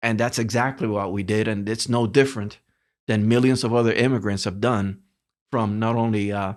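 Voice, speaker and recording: In a very clean recording with a silent background, a man with a Spanish accent speaks at a moderate pace and medium pitch, his intonation fairly even. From Cuba. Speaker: retired telecommunications executive. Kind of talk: interview storytelling.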